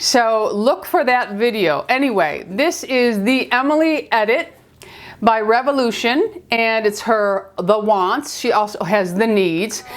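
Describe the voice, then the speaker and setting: This woman has a New York accent, a fairly high pitch, lively intonation and very even loudness, and she talks at a fairly slow pace. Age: 50s. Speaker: beauty vlogger. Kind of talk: makeup tutorial talk to camera. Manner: chatty, friendly.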